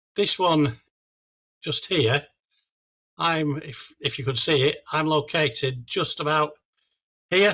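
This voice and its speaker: Here is a man with an English accent. His tone is bright and sharp, with ordinary pitch variation. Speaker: amateur radio product specialist. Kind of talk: club presentation. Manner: halting.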